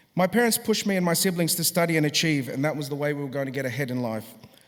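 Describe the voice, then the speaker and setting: A man's fairly high pitch, with an Australian accent and ordinary pitch variation. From Australia, Sydney. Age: 40s. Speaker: musician. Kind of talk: graduation address.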